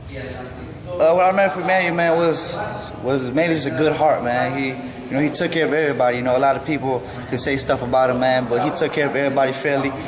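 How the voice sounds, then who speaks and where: There is noticeable background noise and audible room echo. A man with a fairly high voice speaks at a very fast pace. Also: ordinary pitch variation. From Detroit, Michigan (Romanian family). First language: Romanian. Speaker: boxer. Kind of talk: interview. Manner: halting, with fillers.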